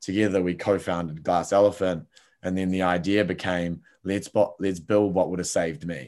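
A man speaks with a New Zealand accent at a moderate pace, his pitch very deep and low and his intonation fairly even. The recording is very clean, with a silent background. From New Zealand, Palmerston North. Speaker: entrepreneur. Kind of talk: casual interview.

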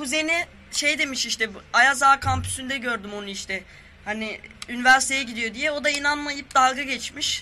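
An extremely high male voice, raised and projected, at a moderate pace against noticeable background noise. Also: ordinary pitch variation. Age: 20s. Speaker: guest. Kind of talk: casual chat.

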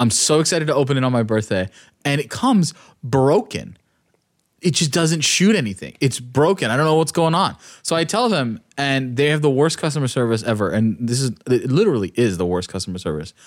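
At a fairly quick pace, a man's pitch swings very widely in a very clean recording with a silent background. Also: medium pitch for a man. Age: 20s. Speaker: podcast co-host. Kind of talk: casual chat.

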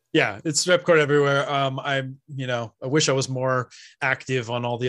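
Recorded very cleanly against a silent background, a man speaks in a West Coast American accent with fairly even intonation. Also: dry, close sound with no echo. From California, San Francisco Bay Area. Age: 40s. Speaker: 3D printing business owner. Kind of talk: casual chat. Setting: live-streamed podcast.

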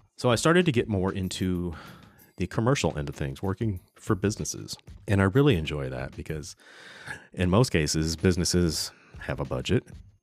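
A man talks at a fairly quick pace with a very deep, low pitch, lively intonation and vocal fry. The recording is very clean with a silent background. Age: 50s. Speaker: photographer and podcast host. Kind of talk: casual monologue. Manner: hesitant, many fillers.

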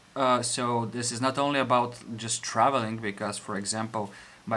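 Moderate pace and fairly even intonation with a Bulgarian accent. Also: man. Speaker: podcast host, engineer, expat. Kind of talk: casual chat.

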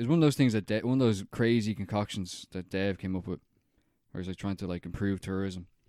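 A dark, mellow tone with an Irish accent at a fairly quick pace, ordinary pitch variation, a dry, close sound with no echo and a very clean recording with a silent background. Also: man. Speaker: film podcast co-host. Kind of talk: casual chat.

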